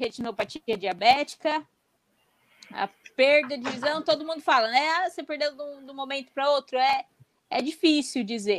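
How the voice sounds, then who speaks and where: A woman speaks at a high pitch with ordinary pitch variation, big swings in loudness and long, frequent pauses, in a dry, close sound with no echo. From Brazil. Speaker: blind roller skating athlete. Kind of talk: interview on live stream.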